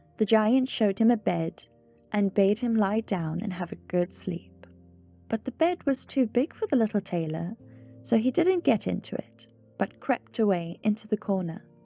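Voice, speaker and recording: Music plays behind a woman talking at a moderate pace. Her fairly high voice has lively intonation and a dry, close sound with no echo. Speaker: ASMR sleep-story reader. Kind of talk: sleep story reading.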